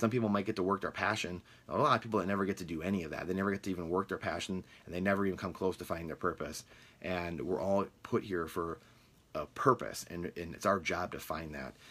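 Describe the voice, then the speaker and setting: A very deep, low-voiced man with a Midwestern US accent at a very fast pace, with ordinary pitch variation on a very clean recording with a silent background. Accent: US Midwest. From Michigan, US. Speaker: real estate podcast host. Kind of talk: casual monologue. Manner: halting with many fillers.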